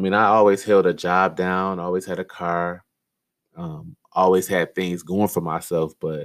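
A man speaks in a very deep, low voice with an American accent, his intonation flat and monotone. The pace is moderate, and the recording is very clean with a silent background. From Detroit, Michigan. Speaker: life coach podcast host. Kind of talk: solo podcast monologue. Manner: casual, frequent laughter.

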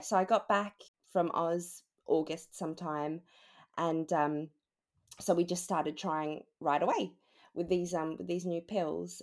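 In an Australian accent, a woman with a fairly low pitch speaks at a very slow pace, her pitch varying in an ordinary way, on a very clean recording with a silent background. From Australia (Melbourne). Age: 20s. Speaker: new mother, HR assistant. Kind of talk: casual interview, personal story.

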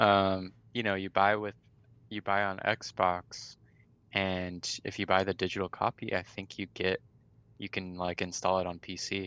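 In an American accent, a man speaks fairly slowly with a very deep, low pitch, a bright, sharp tone and monotone, flat intonation. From California, Riverside. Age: 20s. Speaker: gamer guest. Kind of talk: casual chat. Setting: video call.

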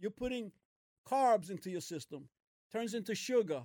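With lively intonation and an energetic tone, a man speaks in a dry, close sound with no echo. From US Northeast, Brooklyn. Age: 70s. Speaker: host's father. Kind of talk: casual chat. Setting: gym.

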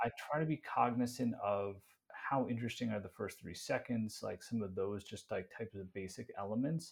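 Fairly quick, somewhat breathy speech with ordinary pitch variation, in a very clean recording with a silent background. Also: man, medium pitch for a man. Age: 40s. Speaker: content creator and marketing executive. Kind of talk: casual interview chat.

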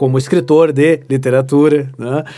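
A fairly high-pitched man at a moderate pace, with music in the background. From Rio Grande do Sul, Brazil (Santa Maria). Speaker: literature professor and writer. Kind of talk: casual interview chat. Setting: studio.

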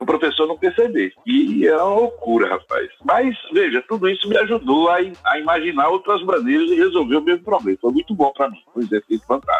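Speaking at a fairly quick pace, a man leaves hardly any pauses. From Sergipe, northeastern Brazil. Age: 60s. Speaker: computer science professor. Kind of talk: casual interview.

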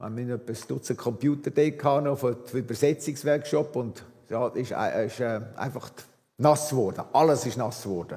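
A man with a medium pitch talks at a moderate pace with fairly even intonation. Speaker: visiting preacher, former missionary. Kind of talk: sermon. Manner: halting.

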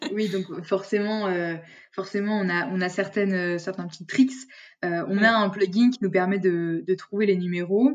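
A woman speaks at a fairly slow pace and a medium pitch. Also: fairly even intonation. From France, Lyon region. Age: 20s. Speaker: sales development representative. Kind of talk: interview. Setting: remote recording.

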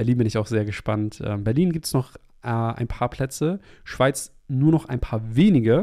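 The man's voice has a dark, mellow tone and medium pitch. His pace is moderate and his pitch varies in an ordinary way. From Hamburg, northern Germany. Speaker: podcast host and ceremony facilitator. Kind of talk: solo podcast monologue.

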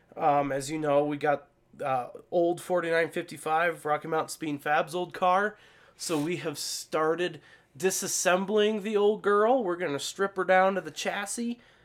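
On a very clean recording with a silent background, a man with a high pitch speaks at a moderate pace with ordinary pitch variation. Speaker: podcast co-host, off-road racing pit crew. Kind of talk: casual chat.

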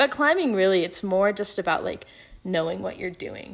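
A woman with an American accent, medium pitch and a normal speaking voice. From Colorado, US (Fort Collins). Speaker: university student and podcast editor. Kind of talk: interview.

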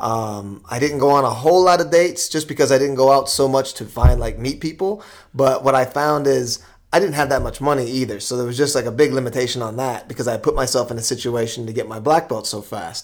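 A man speaks in an unremarkable speaking voice with an American accent. His pace is fairly quick, with ordinary pitch variation. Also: medium pitch for a man. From US East Coast. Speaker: podcast host. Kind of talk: casual interview.

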